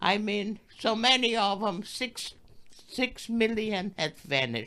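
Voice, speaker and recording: Woman with a bright, sharp tone and vocal fry, medium pitch, ordinary pitch variation and a very slow pace. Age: 80s+. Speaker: Holocaust survivor. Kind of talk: interview answer.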